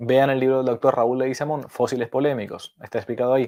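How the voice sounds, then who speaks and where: At a fairly quick pace, a man with a medium pitch and a dark, mellow tone speaks on a very clean recording with a silent background. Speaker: priest teaching catechesis. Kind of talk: lecture. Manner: animated.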